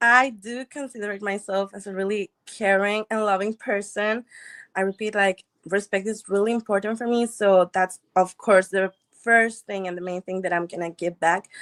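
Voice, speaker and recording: A woman speaks at a medium pitch and a moderate pace, with a non-native accent. Her intonation is fairly even, and the sound is dry and close with no echo. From Mexico. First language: Spanish. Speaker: dating show contestant. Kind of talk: interview.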